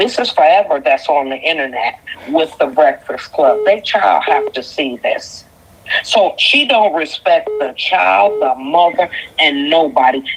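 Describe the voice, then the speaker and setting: A woman's fairly low voice moves at a fairly slow pace with very wide pitch swings. Noticeable background noise is present. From Detroit, Michigan. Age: 50s. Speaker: caller. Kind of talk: call-in opinion. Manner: animated.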